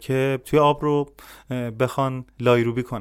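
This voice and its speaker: A man with a normal speaking voice, medium pitch, moderate pace and fairly even intonation, on a very clean recording with a silent background. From Iran, Shushtar, Khuzestan. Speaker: social activist and cybersecurity specialist. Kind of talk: podcast interview.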